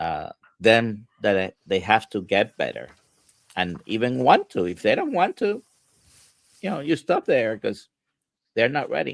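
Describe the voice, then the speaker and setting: Speaking at a fairly slow pace with a Spanish accent, this voice leaves long, frequent pauses in a dry, close sound with no echo. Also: man. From Puerto Rico. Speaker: livestream host and health coach. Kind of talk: casual chat. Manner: halting, many fillers.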